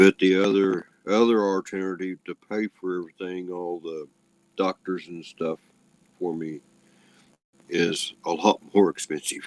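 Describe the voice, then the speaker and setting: A man's very deep, low voice, fairly slow and monotone, with flat intonation and long, frequent pauses. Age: 60s. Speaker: livestream participant. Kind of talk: casual chat. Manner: halting.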